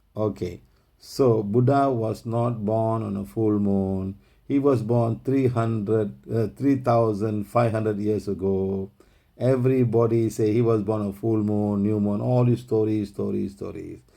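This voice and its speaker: A man speaks with a fairly low pitch and a dark, mellow tone. His intonation stays fairly even at a fairly slow pace. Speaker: spiritual healing teacher. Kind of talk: online group teaching session. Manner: long run-on sentences.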